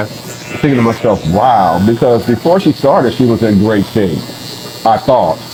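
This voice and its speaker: A man at a fairly slow pace, with lively intonation, very even loudness and noticeable background noise. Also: medium pitch for a man. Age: 60s. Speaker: bodybuilder. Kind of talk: casual interview answer. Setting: barbershop.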